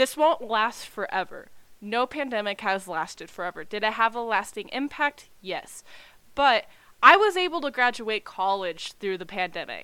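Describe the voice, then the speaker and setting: With an American accent, a woman speaks at a moderate pace in a fairly high pitch, her bright, sharp tone marked by very wide pitch swings, on a very clean recording with a silent background. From Texas. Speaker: YouTuber, K-pop fan. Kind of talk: recorded testimony.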